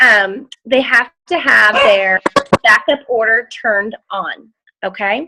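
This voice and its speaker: Loud and bright with a sharp tone, a woman's fairly high voice shows ordinary pitch variation in a dry, close sound with no echo. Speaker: team leader of sales ambassadors. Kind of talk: team call presentation. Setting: group video call.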